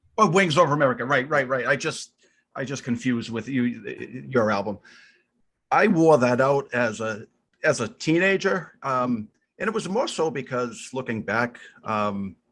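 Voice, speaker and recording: A man with a Boston accent talks at a moderate pace and a medium pitch, lively in intonation and taking long, frequent pauses, against a quiet background. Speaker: podcast co-host. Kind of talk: casual chat.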